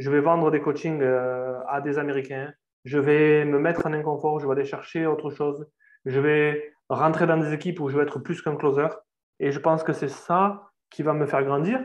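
A man speaks in a fairly high voice with flat, monotone intonation. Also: moderate pace. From southern France. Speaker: sales closer. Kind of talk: interview.

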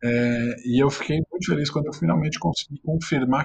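The man's voice is somewhat breathy with a fairly high pitch. He keeps a moderate pace, and the sound is dry and close with no echo. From Brazil, São Caetano do Sul (ABC Paulista, São Paulo). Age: 20s. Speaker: journalist and author. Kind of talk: interview.

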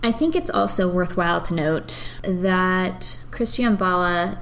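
This woman talks at a very slow pace and a medium pitch, with ordinary pitch variation. Audible room echo surrounds her voice. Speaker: podcast co-host. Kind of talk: casual chat. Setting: dining room.

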